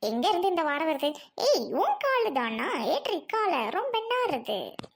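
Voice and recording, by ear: A woman's cartoonish character voice at an extremely high pitch, with big pitch swings, vocal fry and a moderate pace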